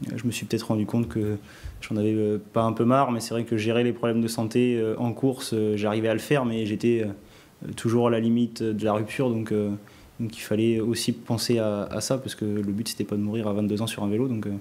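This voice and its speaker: Speaking at a fairly quick pace, a man with a medium-pitched, dark, mellow voice keeps a monotone, flat intonation. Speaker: cycling team sports director. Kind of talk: interview. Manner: halting.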